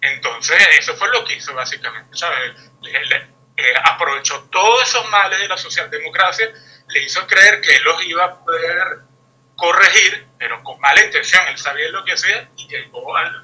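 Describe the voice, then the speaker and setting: Speaking at a moderate pace, a man with a high pitch uses lively intonation and big swings in loudness. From Venezuela. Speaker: guest commentator. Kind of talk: interview discussion. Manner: hesitant, many fillers.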